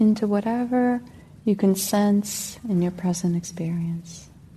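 A woman speaks at a very slow pace in a medium-pitched voice. Her tone is calm and gentle. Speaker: meditation teacher. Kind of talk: guided meditation. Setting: meditation center with group. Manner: calm, gentle.

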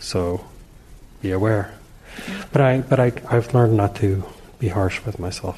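Amid noticeable background noise, a man speaks at a moderate pace with long, frequent pauses, fairly low in pitch with ordinary pitch variation. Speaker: class participant. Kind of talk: casual sharing.

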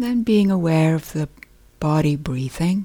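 A woman speaks at a fairly slow pace with lively intonation, her tone calm and gentle, dark and mellow. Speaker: meditation teacher. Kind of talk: guided meditation. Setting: meditation retreat hall. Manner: calm, slow, gentle; soft-spoken, unhurried with pauses.

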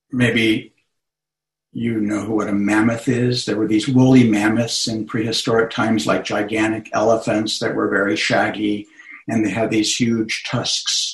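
A man talks in a fairly low pitch at a fairly slow pace. His voice is somewhat breathy and his intonation monotone and flat. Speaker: meditation teacher. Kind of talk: guided meditation. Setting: video call.

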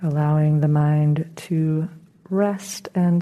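Very slowly and with a calm, gentle tone, a woman speaks in a very deep, low pitch and a monotone, flat intonation over noticeable background noise. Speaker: meditation teacher. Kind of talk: guided meditation. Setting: meditation center, talk recorded for audience. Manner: slow, soft-spoken; calm, gentle, unhurried with long pauses.

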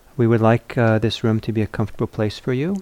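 A man speaks softly in a dark, mellow tone. His pitch is fairly low and his intonation fairly even.

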